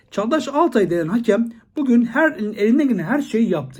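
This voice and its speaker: The delivery is animated, with very wide pitch swings at a moderate pace. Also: man. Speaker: football commentator. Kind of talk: monologue video commentary.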